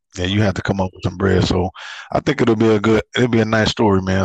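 A man speaks at a fairly quick pace in a fairly low, flat, monotone voice. The sound is dry and close with no echo, over a quiet background. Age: 40s. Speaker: podcast host. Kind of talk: casual chat.

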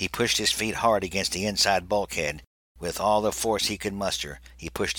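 The delivery is plain reading aloud. No noise intrudes from behind.

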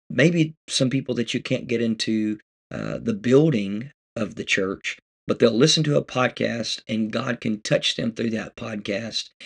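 A man speaks at a medium pitch, fairly slowly, with ordinary pitch variation and vocal fry. The sound is dry and close with no echo, over a quiet background. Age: 30s. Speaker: pastor. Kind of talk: casual podcast monologue. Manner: hesitant, many fillers.

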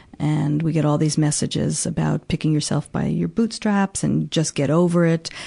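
In an American accent, the speaker talks at a moderate pace with very even loudness and hardly any pauses, the sound dry and close with no echo against noticeable background noise. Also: woman. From US, New York City. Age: 50s. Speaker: psychotherapist and author. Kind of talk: interview; reading aloud.

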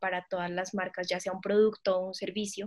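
Medium pitch from a woman with monotone, flat intonation, in a very clean recording with a silent background. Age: 20s. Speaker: fashion design student and entrepreneur. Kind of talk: interview.

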